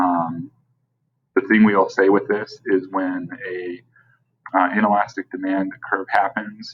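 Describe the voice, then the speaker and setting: The pace is fairly slow. Long pauses come often. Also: man. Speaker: teacher. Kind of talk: recorded lecture screencast. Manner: casual, filler-heavy.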